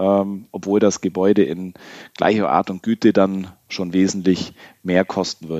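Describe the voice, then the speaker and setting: In a dry, close sound with no echo, a man speaks at a fairly slow pace with a fairly low pitch and a dark, mellow tone. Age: 30s. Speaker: insurance broker, managing director. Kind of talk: podcast interview.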